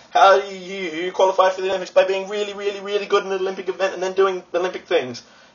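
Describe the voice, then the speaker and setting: A man with an Australian accent talks at a very fast pace and a high pitch. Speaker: vlogger. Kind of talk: casual vlog. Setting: friend's apartment. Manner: animated. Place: home room. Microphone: webcam.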